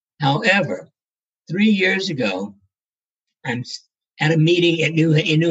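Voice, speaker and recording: Somewhat breathy, a man speaks at a moderate pace with an American accent. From US South, South Carolina. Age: 80s+. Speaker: neurosurgeon and author. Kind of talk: interview, storytelling. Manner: halting, repeats words.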